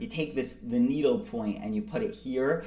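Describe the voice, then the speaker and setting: A man talks at a moderate pace, his pitch swinging very widely. Audible room echo surrounds his voice. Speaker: math tutor. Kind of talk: tutorial.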